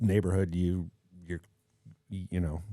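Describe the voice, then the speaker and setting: In a dark, mellow tone, a man with an American accent is captured in a dry, close recording with no echo, very clean against a silent background. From Chicago South Side. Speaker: cinematographer. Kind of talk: casual interview chat.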